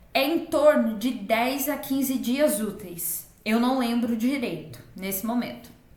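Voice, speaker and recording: Over noticeable background noise, a high-pitched woman talks at a very slow pace with hardly any pauses and ordinary pitch variation. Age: 20s. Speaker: online entrepreneur, digital invitation designer. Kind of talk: personal vlog tutorial.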